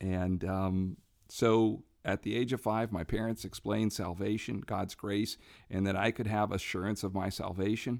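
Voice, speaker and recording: A man speaks in an unremarkable speaking voice, fairly low in pitch. His pace is moderate, and the recording is very clean with a silent background. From Brazil. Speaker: missionary ministry leader. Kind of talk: interview. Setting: makeshift studio at a summit.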